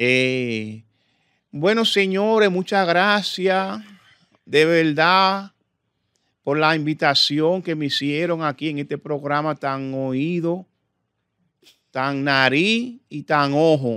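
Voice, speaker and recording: Against a quiet background with a dry sound and no echo, a man with a fairly high voice and a bright, sharp tone talks at a very slow pace with long, frequent pauses. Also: lively intonation. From Dominican Republic. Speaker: comedian and impressionist; guest comedian. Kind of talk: casual chat. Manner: halting. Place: studio. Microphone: studio mic.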